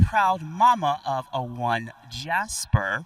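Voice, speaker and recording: Lively intonation marks this man's speech in an American accent, his tone bright and sharp. The recording is very clean, with a silent background. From Washington DC. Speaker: podcast correspondent and panel moderator. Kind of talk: live panel moderation. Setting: stage with live audience at a conference. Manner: fast.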